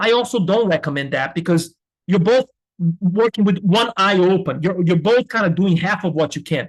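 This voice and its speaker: At a moderate pace, the speaker uses ordinary pitch variation and a slight non-native accent, with a dry, close sound and no echo. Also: man. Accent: slight foreign accent, can pass as American. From Brazil. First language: Portuguese. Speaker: business school professor. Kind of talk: lecture. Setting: webinar.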